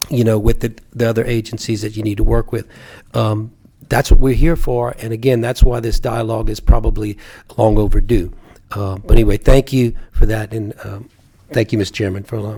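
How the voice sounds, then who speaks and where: A man with a medium-pitched, dark, mellow voice speaks at a fairly quick pace in a monotone, flat way, somewhat breathy, with big swings in loudness. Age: 60s. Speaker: state senator. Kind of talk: legislative committee hearing.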